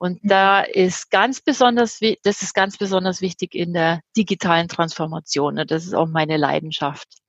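A woman's medium-pitched voice at a moderate pace, with ordinary pitch variation, hardly any pauses, and a dry, close sound free of echo. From Germany. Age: 50s. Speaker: change management consultant. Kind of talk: interview. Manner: hesitant, many fillers.

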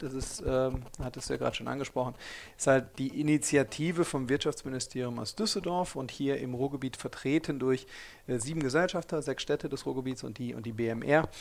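An unremarkable speaking voice belonging to a man, mid-range in pitch and ordinary in pitch variation. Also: fairly quick pace. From Ruhr area, Germany. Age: 40s. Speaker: startup founder and investor. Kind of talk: interview. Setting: office space.

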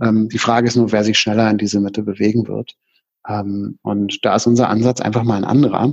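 The delivery moves at a fairly quick pace. Intonation stays monotone and flat. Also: man, fairly low pitch for a man. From Germany, Berlin. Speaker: consulting firm partner. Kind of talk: interview. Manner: hesitant with frequent fillers.

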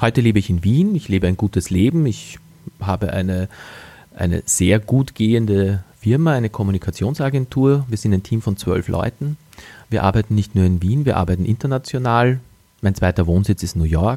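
On a very clean recording with a silent background, a man with a dark, mellow tone and fairly low pitch speaks at a moderate pace with ordinary pitch variation, the sound dry and close with no echo. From Austria, Wachau region (Lower Austria). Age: 40s. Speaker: podcast host and communications agency owner. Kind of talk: motivational monologue. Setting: living room at home, early morning.

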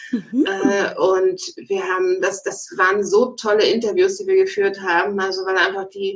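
The woman's intonation is monotone and flat, at a medium pitch. She speaks at a fairly slow pace. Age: 40s. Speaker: online magazine founder. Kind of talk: interview.

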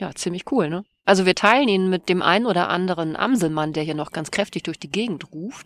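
A normal speaking voice from a woman at medium pitch, with lively intonation and a dry, close sound with no echo. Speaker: podcast co-host. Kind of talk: casual chat. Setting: outdoors.

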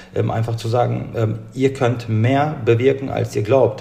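A man speaks at a moderate pace in a fairly low pitch with fairly even intonation. Noticeable background noise can be heard. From Bielefeld, Germany. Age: 30s. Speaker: food-rescue nonprofit founder. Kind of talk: interview. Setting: remote recording. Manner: hesitant, many fillers.

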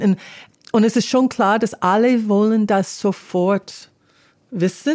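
Speaking in an English accent, a woman has a dark, mellow tone at a medium pitch with ordinary variation. Her pace is fairly slow. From US, California. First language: English (speaking German). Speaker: political organization representative. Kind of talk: interview. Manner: halting.

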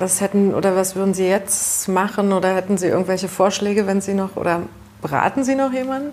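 A woman talks at a fairly quick clip in a medium pitch with ordinary pitch variation and a normal speaking voice. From East Germany. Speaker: journalist. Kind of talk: interview.

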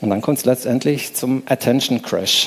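Moderate pace and fairly even intonation over noticeable background noise. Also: man. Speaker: conference speaker. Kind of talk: lecture. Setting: stage with audience.

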